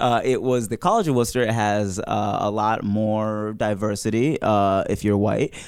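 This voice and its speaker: A man with a fairly low pitch talks in an animated tone at a moderate pace. His loudness stays very even, and he hardly pauses. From Mauritania, raised in Ohio. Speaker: comedian and former science teacher. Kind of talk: live storytelling. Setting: stage with audience. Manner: animated, joking.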